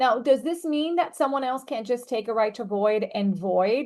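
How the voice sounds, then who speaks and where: A woman's high-pitched voice with very wide pitch swings, a non-native accent and a moderate pace, over a quiet background. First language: not English. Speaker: real estate attorney. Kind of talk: training presentation. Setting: video call.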